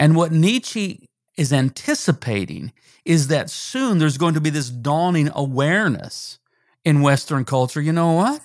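On a very clean recording with a silent background, a plain, everyday voice moves at a fairly slow pace with lively intonation. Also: man, fairly high pitch for a man. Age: 60s. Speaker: pastor and author. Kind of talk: interview.

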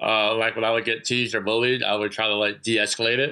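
The man's tone is bright and sharp, pitched at a medium level. He talks very fast in a flat monotone. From New York (Long Island), moved to North Carolina at 10. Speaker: former stuntman turned business owner and speaker. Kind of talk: interview conversation.

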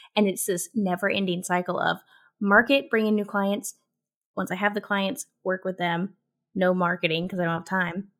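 An ordinary speaking voice from a woman, medium in pitch, with fairly even intonation at a moderate pace, very clean recording and silent background. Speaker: content marketing strategist and author. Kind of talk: casual interview chat.

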